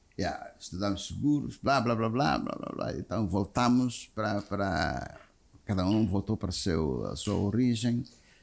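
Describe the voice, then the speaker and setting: A man talks fairly slowly in a fairly low voice marked by vocal fry. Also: lively intonation. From Mozambique. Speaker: insurance executive. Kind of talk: interview. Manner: halting.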